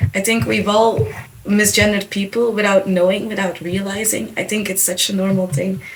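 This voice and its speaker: Speech comes at a moderate pace with fairly even intonation, set against noticeable background noise. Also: woman, medium pitch for a woman. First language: Dutch. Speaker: podcast co-host. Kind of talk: podcast discussion.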